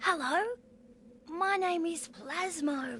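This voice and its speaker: This is a cartoonish character voice pitched high. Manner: polite, earnest.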